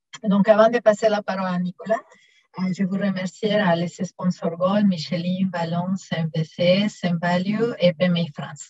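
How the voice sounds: This woman has a fairly low pitch and a slightly mellow tone, with fairly even intonation. She talks at a moderate pace in a dry, close sound with no echo.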